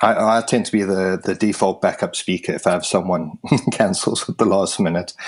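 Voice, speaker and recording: A man with a strong British accent, fairly low in pitch, fairly quick and fairly even in intonation, over noticeable background noise. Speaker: tech meetup organiser. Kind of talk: podcast interview. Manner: halting with repetitions.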